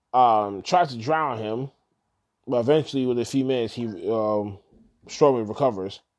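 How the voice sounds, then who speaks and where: Over a quiet background, a man with a plain, everyday voice talks at a moderate pace and medium pitch, with ordinary pitch variation. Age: 30s. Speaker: wrestling podcast host. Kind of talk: solo casual recap. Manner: casual, filler-heavy.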